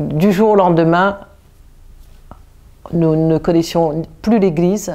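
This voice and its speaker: A woman speaks at a very slow pace in a fairly low voice. Her intonation stays fairly even. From Réunion. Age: 60s. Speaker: parishioner giving faith testimony. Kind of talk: testimony. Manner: halting, with many restarts and fillers.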